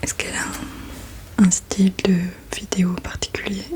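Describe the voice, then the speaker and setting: Whispering at a fairly slow pace in a gentle tone, the speaker is heard over noticeable background noise. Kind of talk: ASMR roleplay, personal questions. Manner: soft-spoken, gentle.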